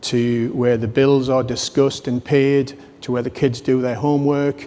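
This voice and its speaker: A man with a British accent speaks at a medium pitch in a flat, monotone way. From UK. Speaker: business executive. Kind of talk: conference talk.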